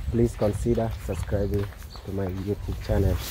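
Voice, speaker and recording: A man talks at a moderate pace with ordinary pitch variation. The sound is dry with no echo, and there is light background noise. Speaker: village vlogger. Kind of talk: casual vlog chat. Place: open country. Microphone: phone near.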